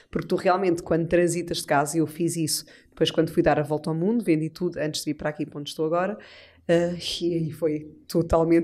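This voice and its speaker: At a very fast pace, a woman speaks in a dark, mellow tone at a fairly low pitch, with monotone, flat intonation. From Portugal. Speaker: podcast host. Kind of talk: casual chat. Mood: warm, reflective. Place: studio. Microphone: studio mic.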